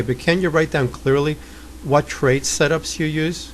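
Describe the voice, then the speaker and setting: Here a man speaks in a New York accent. His pace is moderate. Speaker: trading coach. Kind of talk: tutorial. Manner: blunt.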